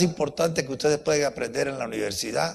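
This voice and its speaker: A man is talking. His tone is animated. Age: 80s+. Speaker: university professor giving a talk. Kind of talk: lecture.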